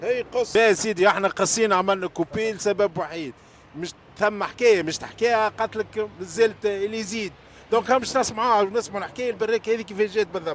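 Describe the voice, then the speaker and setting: Male voice pitched high, rather brisk in tempo, with fairly level intonation. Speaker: food vlogger. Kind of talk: street food interview.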